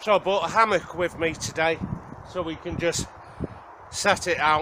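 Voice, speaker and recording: A man's high-pitched voice at a moderate pace, fairly even in intonation, over noticeable background noise. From Wales. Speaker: outdoor survival vlogger. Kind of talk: casual vlog talk to camera. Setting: outdoors in the woods.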